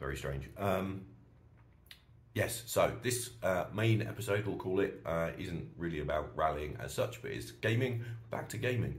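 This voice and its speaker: There is audible room echo as a man with a British accent speaks at a moderate pace in a very deep, low pitch, with vocal fry and very wide pitch swings. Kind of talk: casual vlog monologue. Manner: animated ranting.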